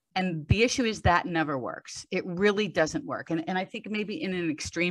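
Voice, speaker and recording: It is an ordinary speaking voice, belonging to a woman. She keeps a moderate pace with ordinary pitch variation. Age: 60s. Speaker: strength coach. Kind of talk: podcast interview.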